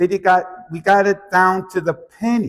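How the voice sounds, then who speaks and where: A man talks on a very clean recording where the background is totally silent. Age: 60s. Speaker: bookkeeping business coach. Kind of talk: seminar talk to live audience. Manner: casual, conversational.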